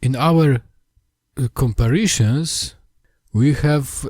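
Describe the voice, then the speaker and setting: A man speaks with a somewhat breathy voice and lively intonation on a very clean recording with a silent background. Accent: Polish. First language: Polish. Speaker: language history video maker. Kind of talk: lecture. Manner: halting.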